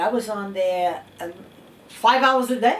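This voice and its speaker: With a New York accent, a woman speaks at a fairly slow pace and with lively intonation, her voice carrying audible room echo. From New York City, East Harlem. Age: 70s. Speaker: interviewee. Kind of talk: interview. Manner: casual, conversational.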